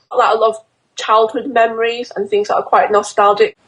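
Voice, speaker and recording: A woman with a Yorkshire accent speaks at a fairly high pitch. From northern England, Doncaster. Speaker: fashion illustrator. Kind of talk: interview. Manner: hesitant, many fillers.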